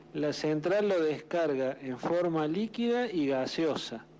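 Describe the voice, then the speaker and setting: A very slow man with a Córdoba accent, a dark, mellow tone, and ordinary pitch variation. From Argentina, Córdoba. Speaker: journalist. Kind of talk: radio interview.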